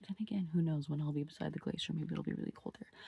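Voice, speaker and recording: Vocal fry runs through fairly even intonation, captured with a dry, close sound and no echo. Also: woman. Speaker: travel vlogger. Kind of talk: casual vlog. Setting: outdoors on hiking track.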